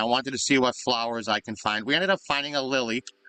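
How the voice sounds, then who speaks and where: Mumbling at a very fast pace, a man speaks at medium pitch with ordinary pitch variation. His tone is bright and sharp, and the sound is dry and close with no echo. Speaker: gaming video creator. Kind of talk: gameplay commentary. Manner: halting.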